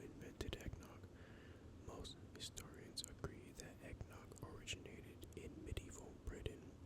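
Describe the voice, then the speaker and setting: Background noise is noticeable here. The whispering keeps a moderate pace. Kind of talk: ASMR soft spoken facts narration. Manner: soft-spoken, casual, conversational.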